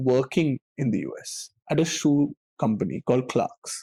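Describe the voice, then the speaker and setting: A man with an Indian accent speaks at a fairly high pitch with a dark, mellow tone and ordinary pitch variation, the sound dry and close with no echo. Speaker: actor. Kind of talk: casual chat.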